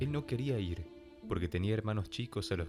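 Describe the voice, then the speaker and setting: A man speaks with a fairly low pitch. Music plays in the background. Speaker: voice actor. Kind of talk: audiobook narration.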